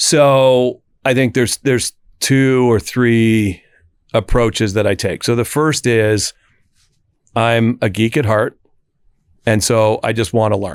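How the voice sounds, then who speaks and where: At a fairly slow pace with long, frequent pauses, a man speaks at medium pitch with fairly even intonation in a very clean, dry, close recording with no echo and a silent background. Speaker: IT executive. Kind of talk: interview. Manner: halting.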